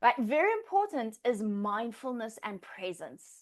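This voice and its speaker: Over a quiet background, a woman speaks in an animated tone. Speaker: Pilates instructor trainer. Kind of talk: lecture. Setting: live class, in-person and online.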